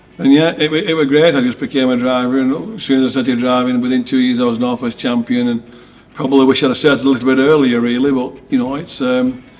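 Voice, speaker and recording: A man with a Lancashire accent at a medium pitch and very fast pace, fairly even in intonation, over noticeable background noise. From northern England, Lancashire. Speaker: rallycross driver. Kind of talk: interview answers. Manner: casual, with fillers and false starts.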